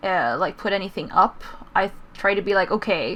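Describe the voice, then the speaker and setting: A woman talks with a Swedish accent. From Sweden. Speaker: YouTuber, gaming video maker. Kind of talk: casual interview chat.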